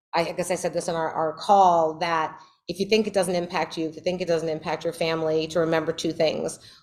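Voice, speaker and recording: A woman with a New York accent talks at a fairly quick pace in a fairly low pitch, her intonation flat and monotone. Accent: New York, noticeable. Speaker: criminal justice advocate, former public defender. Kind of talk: Q&A talk at a meeting.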